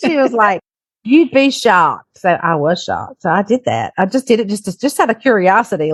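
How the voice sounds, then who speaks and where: Someone with a Southern US accent talks at a fairly quick pace with very wide pitch swings. The sound is dry and close, with no echo. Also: woman. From Louisiana, USA. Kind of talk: interview answer. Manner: casual, conversational.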